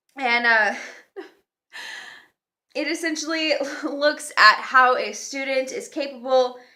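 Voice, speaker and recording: A woman speaks very slowly in a raised, projected voice, her high pitch carrying a bright, sharp tone. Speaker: dog trainer. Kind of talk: casual educational talk to camera.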